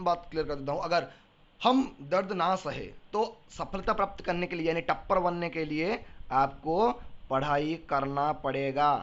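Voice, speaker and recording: Here a man speaks in a high voice with an animated tone. His pitch varies an ordinary amount. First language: Odia (speaking Hindi). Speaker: teacher. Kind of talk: lecture.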